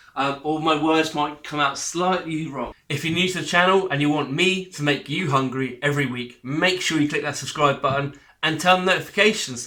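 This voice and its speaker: A man speaks with an English accent at a fairly high pitch. His pace is fairly quick. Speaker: cooking channel host. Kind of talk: cooking tutorial. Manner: chatty, jokey.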